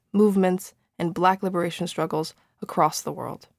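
A woman talks at a moderate pace in an unremarkable speaking voice of medium pitch, her intonation fairly even. The recording is very clean with a silent background, and the sound is dry and close with no echo. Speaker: show announcer. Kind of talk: scripted narration.

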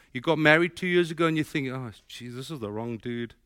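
A man's fairly high, fairly quick voice in a South African accent, with very wide pitch swings, on a very clean recording with a silent background. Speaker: pastor. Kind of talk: sermon. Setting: church.

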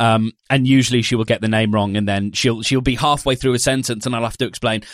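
A man with a British accent speaks very fast at a medium pitch, his intonation fairly even. The sound is dry and close, with no echo. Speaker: podcast host and podcast platform developer. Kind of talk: casual chat. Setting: remote call.

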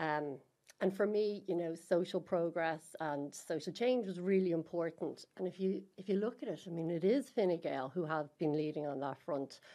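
With an Irish accent, a woman talks at a moderate pace in a fairly low pitch with ordinary pitch variation. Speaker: party women's network co-chair. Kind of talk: interview conversation.

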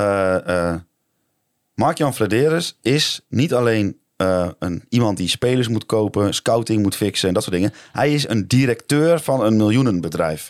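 On a very clean recording with a silent background and a dry, close sound with no echo, a man with a plain, everyday voice speaks at a fairly slow pace, his fairly low pitch carried by lively intonation. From Netherlands. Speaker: football podcast co-host. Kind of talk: casual chat.

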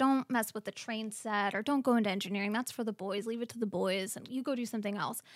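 A woman speaks at a fairly quick pace in a plain, everyday voice, pitched fairly high. The recording is very clean, with a silent background. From US, military family, moved often. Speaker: marketing executive. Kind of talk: casual interview chat.

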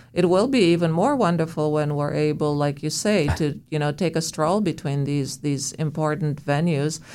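Speaking with a Romanian accent, this woman has a very deep, low pitch and fairly even intonation. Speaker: museum director. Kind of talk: interview.

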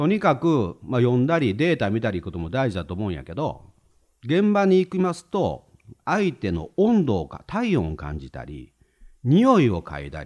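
A man with a Kansai accent, medium in pitch, at a moderate pace, with very wide pitch swings and big swings in loudness, against a quiet background. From Hyogo, Himeji (Kansai). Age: 50s. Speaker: retired civil servant. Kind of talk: casual chat.

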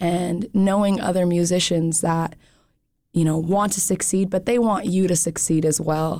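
A woman with an ordinary speaking voice talks at a moderate pace and medium pitch, with ordinary pitch variation, on a very clean recording with a silent background. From US, Montana (Bitterroot Valley). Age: 20s. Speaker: musician and music organizer. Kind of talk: radio interview. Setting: radio studio.

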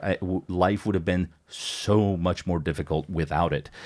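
A man with an American accent and a very deep, low voice, his intonation fairly even. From United States. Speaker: podcast guest. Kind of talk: casual chat. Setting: studio.

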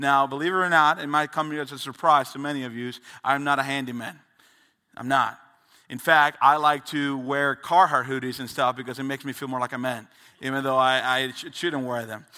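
This man's fairly high voice has a bright, sharp tone and fairly even intonation, yet his loudness swings widely in a very clean recording with a silent background. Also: fairly quick pace. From Dominican Republic. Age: 20s. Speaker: youth pastor. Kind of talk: sermon. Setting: church.

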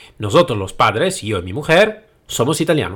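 On a very clean recording with a silent background, a man speaks at a moderate pace with vocal fry and very wide pitch swings. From Italy. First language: Italian (speaking Spanish). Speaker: podcast host, trainer and consultant. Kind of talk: solo podcast monologue. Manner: halting, with hesitations.

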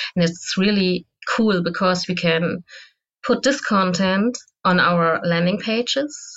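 A woman speaks in a German accent at a fairly slow pace. Her pitch is fairly low, with ordinary variation. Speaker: SEO manager. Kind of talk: interview. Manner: loud.

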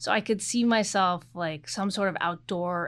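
An unremarkable speaking voice, a woman with an American accent talks at a moderate pace and a fairly low pitch with fairly even intonation, in a very clean recording over a silent background. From Oregon, US Pacific Northwest. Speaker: corporate general counsel. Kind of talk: interview.

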